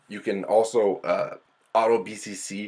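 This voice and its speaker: The man's voice is fairly low. He talks at a fairly slow pace. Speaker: product reviewer. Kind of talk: product review over demo video. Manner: animated.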